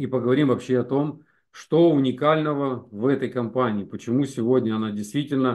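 A man's pitch varies in an ordinary way as he speaks against a quiet background. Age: 50s. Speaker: network marketing presenter; presenter. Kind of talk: webinar sales presentation. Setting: live stream. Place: home room. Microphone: video call.

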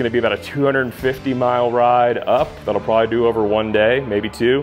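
Faint music sits in the background. The man's delivery keeps a moderate pace. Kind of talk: casual vlog chat. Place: garage.

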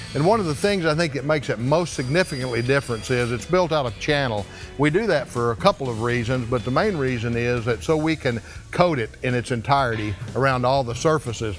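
The speech moves at a fairly quick pace. Faint music plays in the background. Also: man. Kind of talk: promotional tour presentation. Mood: proud, confident. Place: factory.

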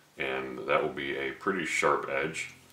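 A man's fairly slow speech carries audible room echo. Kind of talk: tutorial. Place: workshop.

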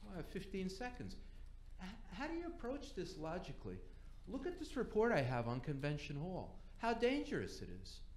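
At a moderate pace, the speech carries audible room echo along with light background noise. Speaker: resident speaking at public comment. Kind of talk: public comment complaint. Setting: council chamber. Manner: agitated. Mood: frustrated, complaining. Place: meeting room.

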